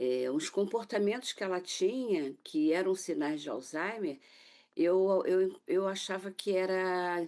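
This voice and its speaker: Very slowly, a woman talks against a quiet background. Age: 60s. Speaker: author and caregiver of mother with Alzheimer's. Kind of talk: TV interview testimony. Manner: halting, with frequent fillers.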